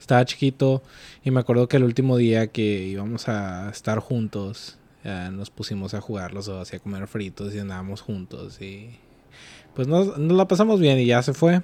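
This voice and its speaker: At a moderate pace, the voice has a dark, mellow tone, lively intonation and big swings in loudness, on a very clean recording with a silent background. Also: man. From Mexico, Ciudad Acuña, Coahuila. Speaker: podcast host. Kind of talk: casual chat.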